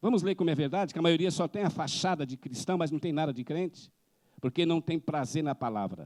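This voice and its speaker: A man talks at a fairly quick pace in a fairly high pitch, with ordinary pitch variation and vocal fry. The recording is very clean with a silent background and a dry, close sound with no echo. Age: 60s. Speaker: missionary preacher. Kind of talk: sermon.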